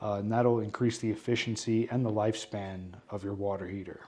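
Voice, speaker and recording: With a New York accent, a man talks at a moderate pace in a fairly low pitch with monotone, flat intonation. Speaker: plumber. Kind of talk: podcast interview. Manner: hesitant fillers.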